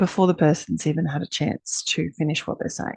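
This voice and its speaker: A woman with an Australian accent, very deep and low in pitch, recorded dry and close with no echo. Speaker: energy healer. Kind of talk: casual talk to camera. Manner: hesitant, many fillers.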